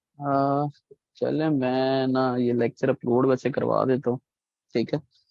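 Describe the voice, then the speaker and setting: Heard dry and close with no echo, a man with a fairly high pitch and a dark, mellow tone talks at a fairly slow pace in a monotone, flat delivery. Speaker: online course instructor. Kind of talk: lecture.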